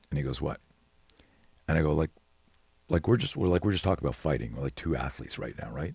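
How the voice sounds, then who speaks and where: A man talks at a very fast pace in an animated tone. His very deep, low pitch carries vocal fry. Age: 60s. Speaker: self-defense expert. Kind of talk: casual chat. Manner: halting.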